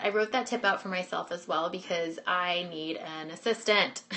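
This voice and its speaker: A woman with lively intonation talks at a moderate pace in an unremarkable speaking voice. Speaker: business coach. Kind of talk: webinar presentation.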